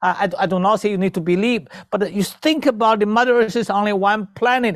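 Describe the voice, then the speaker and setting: A man with a Chinese accent talks fairly quickly in a high pitch. The sound is dry and close, with no echo. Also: very clean recording, silent background. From China. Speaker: traditional Chinese medicine doctor and spiritual teacher. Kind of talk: interview. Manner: halting.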